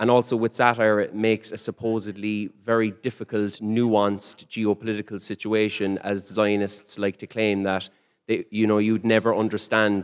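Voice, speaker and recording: In an Irish accent, a man speaks at a fairly low pitch in a flat monotone, with a dry, close sound with no echo on a very clean recording with a silent background. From Ireland. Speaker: comedian. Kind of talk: panel discussion. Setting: conference stage with audience. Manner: fast.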